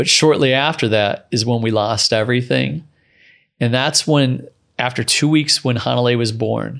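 A man with an unremarkable speaking voice talks at a moderate pace and medium pitch, his loudness very even and his pitch varying ordinarily, over a quiet background. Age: 40s. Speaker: entrepreneur and surfer. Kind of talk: interview.

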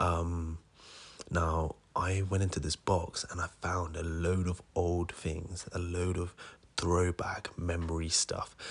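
Here a man speaks very slowly in a very deep, low pitch. His voice is somewhat breathy. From India. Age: 20s. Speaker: aspiring entrepreneur podcaster. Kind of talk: casual solo monologue.

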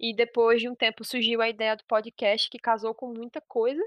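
Against a quiet background, a woman talks at a fairly quick pace in a fairly high voice, the sound dry and close with no echo. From Pernambuco, Brazil. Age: 20s. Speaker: podcast host, literature student. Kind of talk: solo monologue podcast. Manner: fast.

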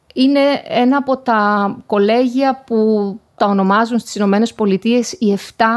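An unremarkable speaking voice from a woman, fairly high in pitch, with ordinary pitch variation and a fairly slow pace. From Greece, Thessaloniki area. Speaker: professor. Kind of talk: interview. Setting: remote call.

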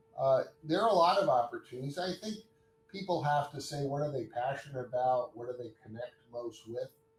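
A man's fairly high, somewhat breathy voice at a fairly quick pace, with lively intonation. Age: 60s. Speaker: hospital chief of staff and orthopedic surgeon. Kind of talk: interview.

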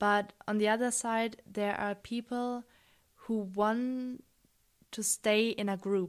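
Against a very clean recording with a silent background, a woman with a German accent speaks at a very slow pace, her fairly high pitch held in monotone, flat intonation. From Munich, Germany. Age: 20s. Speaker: student. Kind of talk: interview. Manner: hesitant, many fillers.

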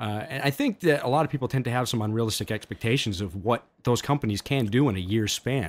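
Talking at a very fast pace with hardly any pauses, a man of medium pitch shows ordinary pitch variation in a very clean recording with a silent background. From French Canada. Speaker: archery podcast host. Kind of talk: casual chat.

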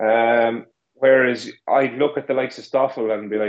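A man speaks with an Irish accent at a medium pitch. His intonation is monotone and flat. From Ireland. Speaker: co-host. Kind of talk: casual podcast chat. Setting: video call from Ireland, late evening.

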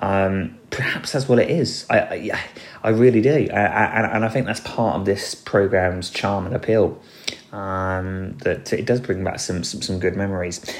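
With an English accent, a man speaks at a fairly slow pace in a fairly low pitch over noticeable background noise. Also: ordinary pitch variation. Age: 40s. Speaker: podcast host. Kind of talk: solo commentary podcast. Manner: hesitant, with filler words.

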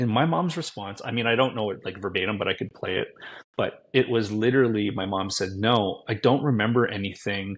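With a quiet background, an unremarkable speaking voice moves at a fairly quick pace with ordinary pitch variation. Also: man, fairly low pitch for a man. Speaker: guest, social media creator. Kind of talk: casual interview chat.

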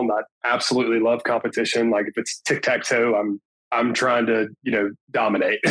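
The speaker talks at a fairly quick pace with an Alabama accent. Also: man. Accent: US Southern (Alabama). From northern Alabama (Tuscumbia). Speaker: insurance business owner, former college football player. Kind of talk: interview, casual chat.

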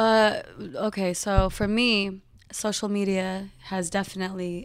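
A woman with an American accent talks at a medium pitch in a monotone, flat intonation. The recording is very clean, with a silent background. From Northern California (Modesto). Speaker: entertainer and social media influencer. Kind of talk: casual interview. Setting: office.

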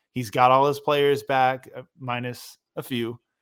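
This is a very clean recording with a silent background. The voice carries an American accent. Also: man. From Portland, Oregon. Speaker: professional basketball player and co-host. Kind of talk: casual chat. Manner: halting.

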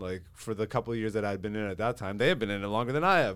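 This man talks in an animated tone. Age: 30s. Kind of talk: casual chat.

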